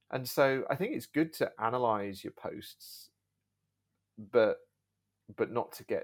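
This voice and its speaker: In a very clean recording with a silent background, a man with an English accent speaks at a very slow pace. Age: 40s. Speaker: YouTuber and video agency owner. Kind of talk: casual chat. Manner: halting, repeats words.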